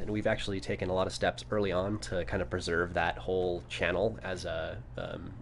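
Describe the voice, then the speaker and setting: A man speaks with vocal fry. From New Mexico. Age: 30s. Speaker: architect. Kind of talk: casual chat. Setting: live stream studio.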